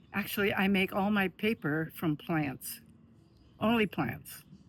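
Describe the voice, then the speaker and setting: With an Upper Midwest accent, a woman speaks at a fairly slow pace in a fairly low voice with vocal fry. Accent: Upper Midwest American. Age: 90s. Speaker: artist. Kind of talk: casual chat.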